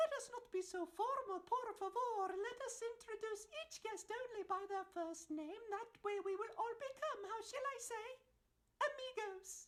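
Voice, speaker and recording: Using a put-on character voice, a woman sounds squeaky at an extremely high pitch, with ordinary pitch variation and a moderate pace. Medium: stage play. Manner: haughty.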